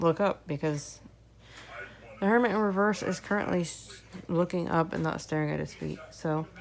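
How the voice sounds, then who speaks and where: Noticeable background noise runs under speech at a moderate pace with long, frequent pauses. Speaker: tarot reader. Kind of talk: casual tarot reading video. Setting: at home with sleeping baby. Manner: quiet, soft-spoken to not wake baby; hesitant with fillers.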